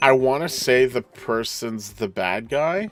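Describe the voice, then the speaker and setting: A man speaks at a very slow pace while noticeable background noise continues. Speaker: gaming live streamer. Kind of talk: casual gameplay chat. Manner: loud.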